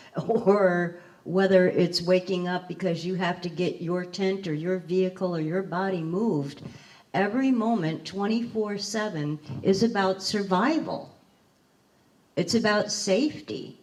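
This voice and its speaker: Ordinary pitch variation marks this fairly slow delivery. Background noise is noticeable throughout. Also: woman, medium pitch for a woman. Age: 60s. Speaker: formerly homeless panelist. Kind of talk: panel discussion.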